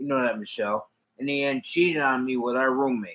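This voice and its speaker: A man with a plain, everyday voice speaks at a moderate pace, with medium pitch and fairly even intonation. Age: 60s. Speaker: hobby livestreamer. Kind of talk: casual chat. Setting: livestream.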